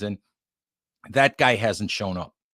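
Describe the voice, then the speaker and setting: Speaking at a moderate pace, a man has a fairly low voice. The recording is very clean and dry, with a silent background, a close sound and no echo. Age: 60s. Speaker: football writer and site editor. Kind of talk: sports podcast interview. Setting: podcast.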